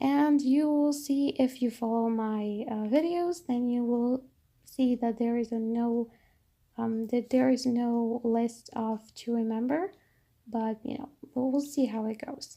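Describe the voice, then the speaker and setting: The voice has a dark, mellow tone and a Polish accent. Its intonation stays fairly even. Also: woman, high pitch for a woman, fairly slow pace. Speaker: bullet journal vlogger. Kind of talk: tutorial. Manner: halting.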